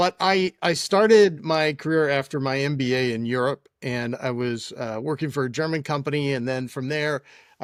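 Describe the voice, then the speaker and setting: In a normal speaking voice, a man talks at a fairly high pitch with ordinary pitch variation, the sound dry and close with no echo. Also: very clean recording, silent background. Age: 60s. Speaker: tech entrepreneur. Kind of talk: interview storytelling.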